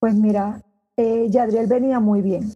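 With a fairly high pitch and a dark, mellow tone, a woman speaks with fairly even intonation. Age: 60s. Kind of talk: interview.

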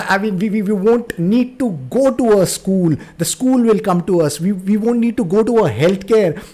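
Pitched high, a man's voice has a dark, mellow tone, moving at a moderate pace with ordinary pitch variation and hardly any pauses. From India. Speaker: podcast host. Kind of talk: interview. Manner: halting, repeats words.

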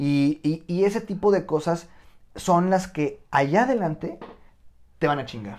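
A man with a high voice and a Mexican accent talks in an animated tone with lively intonation, at a fairly slow pace with long, frequent pauses. The recording is very clean, with a silent background. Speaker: nutritionist. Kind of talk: casual chat.

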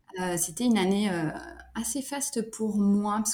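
Somewhat breathy, dark and mellow voice at a fairly slow pace with ordinary pitch variation. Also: woman. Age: 30s. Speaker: sophrologist, single mother. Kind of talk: casual interview.

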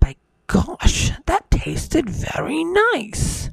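A man performs a put-on character voice at an extremely high pitch. He speaks at a very slow pace. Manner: muttering, satisfied.

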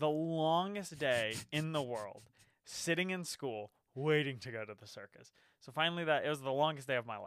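Animated in tone, a man speaks at a fairly high pitch and a moderate pace with ordinary pitch variation and big swings in loudness. The recording is very clean, with a silent background. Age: 20s. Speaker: podcast co-host. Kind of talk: casual chat.

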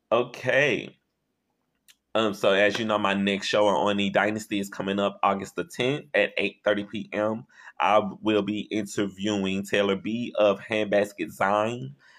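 In a Louisiana accent, a man with a fairly low pitch speaks. His pace is fairly slow and his intonation fairly even. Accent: Southern US (Louisiana). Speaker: podcast host. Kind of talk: casual chat. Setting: phone call.

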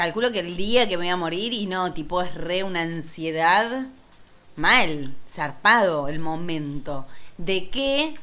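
In a Rioplatense accent, a woman speaks at a very slow pace with a fairly low pitch, a bright, sharp tone, and lively intonation, with audible room echo. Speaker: podcast co-host. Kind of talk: casual chat.

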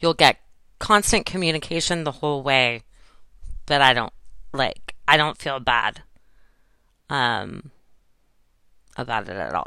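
Long, frequent pauses break up speech delivered at a fairly slow pace. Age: 40s. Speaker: podcast host and photographer. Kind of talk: casual solo monologue. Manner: casual with many fillers.

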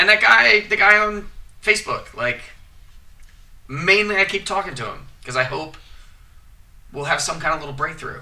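Using a raised, projected voice with big swings in loudness, a man talks at a high pitch and moderate pace, his intonation lively and his pauses long and frequent. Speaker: podcast host. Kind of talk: casual chat.

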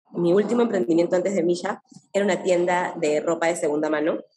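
An unremarkable speaking voice belongs to a woman with a fairly low pitch. She talks at a moderate pace with ordinary pitch variation. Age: 30s. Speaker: entrepreneur. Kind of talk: interview.

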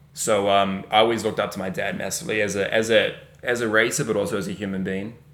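A man with a New Zealand accent talks at a very fast pace in a fairly low voice, with ordinary pitch variation and audible room echo. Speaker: racing driver. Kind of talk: casual chat.

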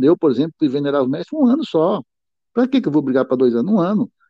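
With lively intonation, a man speaks in a fairly high pitch. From Brazil, Piauí (Northeast). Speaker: freemason, president of a masonic letters academy. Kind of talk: interview about freemasonry administration. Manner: hesitant, many filler sounds.

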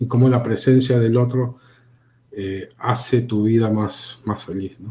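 A man's dark, mellow, somewhat breathy voice at medium pitch moves at a fairly slow pace in a monotone, flat way. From Peru. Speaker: communication graduate and film critic. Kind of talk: casual interview chat. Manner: halting, many repetitions.

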